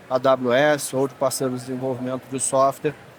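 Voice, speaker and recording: Fairly high in pitch, a man's voice moves along at a fairly quick pace. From Rio de Janeiro, Brazil. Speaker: tech industry manager. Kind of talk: panel discussion.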